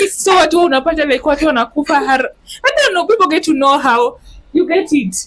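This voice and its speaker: Talking at a fairly quick pace, a woman with a Kenyan accent and an extremely high pitch makes very wide pitch swings while keeping her loudness very even. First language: Luo. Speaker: podcast host. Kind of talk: casual chat. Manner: code-switching between English and Swahili.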